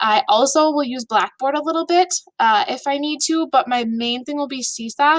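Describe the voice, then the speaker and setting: A woman speaks high in pitch with lively intonation. Her tone is upbeat and her pace moderate. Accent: Upper Midwest. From Minnesota, US. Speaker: elementary school teacher. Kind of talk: video presentation to students and families. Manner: casual and upbeat.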